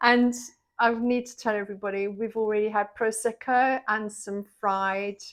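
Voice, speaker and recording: A woman in an English accent at a fairly slow pace, against a quiet background. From England. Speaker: vlogger interviewer. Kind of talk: casual interview chat; vlog narration. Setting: kitchen.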